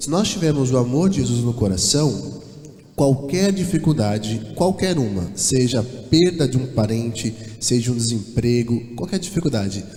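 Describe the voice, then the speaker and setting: Amid noticeable background noise and audible room echo, a man speaks at a moderate pace with medium pitch and lively intonation. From São Paulo, Brazil. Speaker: church singer. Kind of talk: church address before a hymn. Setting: church.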